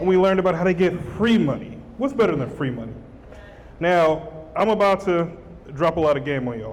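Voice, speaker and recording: A man's high-pitched voice with lively intonation, a fairly quick pace and long, frequent pauses, amid noticeable background noise and audible room echo. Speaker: business acquisition educator and author. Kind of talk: live stage presentation. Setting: stage with live audience, hand mic. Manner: fast; energetic, animated.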